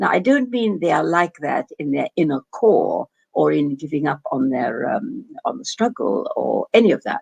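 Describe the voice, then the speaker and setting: A woman speaks in an English accent at a moderate pace. The sound is dry and close, with no echo. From England. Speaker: doctor and Middle East scholar. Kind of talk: interview. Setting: video call. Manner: halting.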